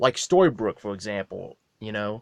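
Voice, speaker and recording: A man mumbling at a moderate pace, with a dry, close sound and no echo. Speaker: fan video maker. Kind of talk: casual monologue. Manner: halting.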